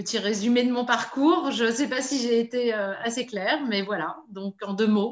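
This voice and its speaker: Speaking at a fairly slow pace with hardly any pauses, a woman has a fairly high pitch and ordinary pitch variation. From Paris region, France. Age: 50s. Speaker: business owner. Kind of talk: interview testimony. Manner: hesitant, many fillers.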